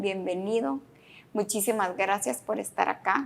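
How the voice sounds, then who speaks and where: A woman with a normal speaking voice talks at a fairly slow pace, her pitch medium and its variation ordinary. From Guatemala. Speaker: podcast host, author. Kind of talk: interview.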